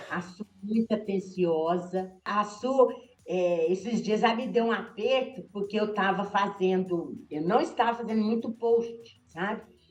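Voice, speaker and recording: A woman's medium-pitched voice at a fairly slow pace, with ordinary pitch variation and hardly any pauses, music in the background. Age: 60s. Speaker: shoe store owner. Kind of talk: interview on video call.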